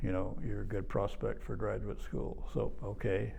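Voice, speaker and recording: A man with an American accent talks at a moderate pace, with audible room echo. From Oklahoma. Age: 80s+. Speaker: retired archaeology professor. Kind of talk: oral history interview. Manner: halting, many fillers.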